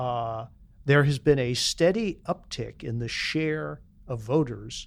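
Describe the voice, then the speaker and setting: A man talks in an unremarkable speaking voice at medium pitch with ordinary pitch variation. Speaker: panelist.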